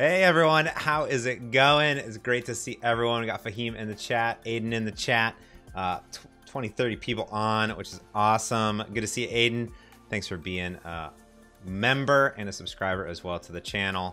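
A man talks at a moderate pace with ordinary pitch variation. His loudness swings a lot, with faint music in the background. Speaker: software developer streamer. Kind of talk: casual livestream chat. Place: office.

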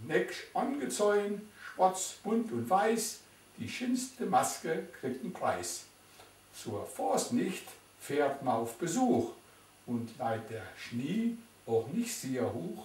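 A man with a Silesian accent and a high pitch, very wide pitch swings, a very slow pace, long, frequent pauses, and audible room echo. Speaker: dialect poetry reciter. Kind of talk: poetry reading. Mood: calm, warm, nostalgic. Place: home room. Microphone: camera far.

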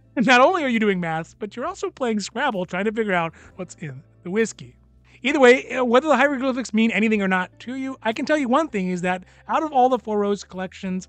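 Faint music plays in the background, and the sound is dry with no echo. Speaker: whiskey reviewer. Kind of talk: casual product review commentary. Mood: relaxed, lightly humorous. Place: home room.

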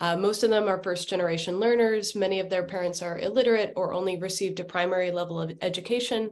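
At a very fast pace with hardly any pauses, a woman talks with fairly even intonation. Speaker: education nonprofit worker. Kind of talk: panel discussion. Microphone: video call.

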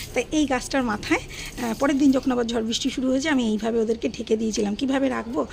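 Light background noise sits behind a woman whose high voice holds very even loudness and fairly even intonation. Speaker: home vlogger. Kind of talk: casual vlog narration. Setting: at home, garden. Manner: soft-spoken. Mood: gentle, caring. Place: garden.

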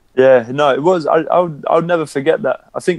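A man speaks with a London accent. His pace is very fast. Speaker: professional basketball player. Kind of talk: casual interview chat.

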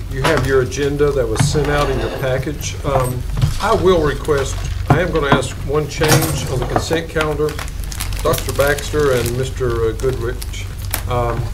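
Over loud background noise, the speech moves at a fairly slow pace. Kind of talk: meeting chairing remarks. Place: meeting room.

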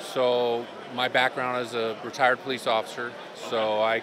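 A man, dry sound with no echo, noticeable background noise. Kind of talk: interview answer. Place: hall. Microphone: handheld.

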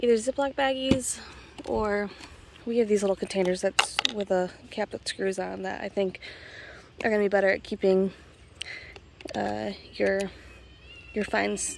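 Amid noticeable background noise, a woman talks at a moderate pace with long, frequent pauses in a dry sound with no echo. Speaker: rockhounding channel host. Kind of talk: casual tutorial vlog chat. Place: open country. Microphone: phone near.

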